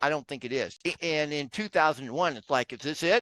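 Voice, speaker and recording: A man with an American accent talks at a fairly quick pace and fairly high pitch, with ordinary pitch variation. It is a plain, everyday voice, recorded dry and close with no echo against a quiet background. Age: 60s. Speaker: real estate investor. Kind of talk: podcast interview.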